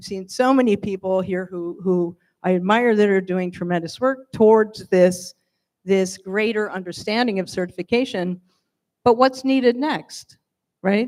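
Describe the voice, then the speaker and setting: In an American accent, a woman with a plain, everyday voice talks at a moderate pace and medium pitch, with ordinary pitch variation and big swings in loudness. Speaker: wine industry panelist. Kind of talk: panel discussion.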